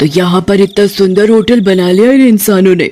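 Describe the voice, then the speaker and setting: A cartoonish character voice delivers its lines at a moderate pace. Faint music plays in the background. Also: woman, medium pitch for a woman. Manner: menacing, mocking.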